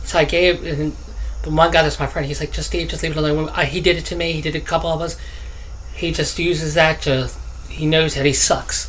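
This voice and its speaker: The man speaks fairly quickly, with audible room echo and noticeable background noise in the recording. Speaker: gaming youtuber. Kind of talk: gameplay commentary. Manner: halting, stuttering.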